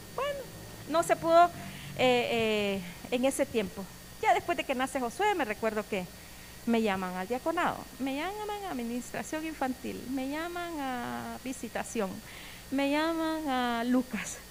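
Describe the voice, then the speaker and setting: Against noticeable background noise, a woman speaks loudly in a high voice with very wide pitch swings, at a fairly slow pace with long, frequent pauses. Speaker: church member giving testimony. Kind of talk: testimony sermon.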